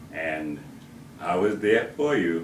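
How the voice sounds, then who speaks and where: A man speaks, and audible room echo surrounds his voice. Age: 60s. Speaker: grandfather giving a family message. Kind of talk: recorded personal speech with a joke. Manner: hesitant, with frequent fillers.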